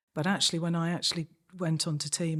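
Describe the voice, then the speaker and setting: On a very clean recording with a silent background, a woman with a slight Manchester accent speaks in a very deep, low pitch with monotone, flat intonation. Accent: slight Manchester twang. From Manchester, northern England. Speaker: senior police officer. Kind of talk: interview.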